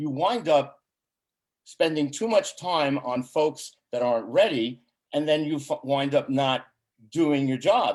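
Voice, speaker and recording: The man has a plain, everyday voice, fairly high in pitch with ordinary pitch variation, and he speaks at a fairly slow pace. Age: 60s. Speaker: chamber of commerce board member and ambassador. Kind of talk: casual interview chat.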